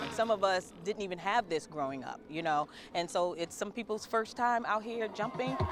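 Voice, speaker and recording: With music in the background, a woman talks at a moderate pace in an animated tone and lively intonation. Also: medium pitch for a woman. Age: 40s. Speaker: club member. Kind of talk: interview.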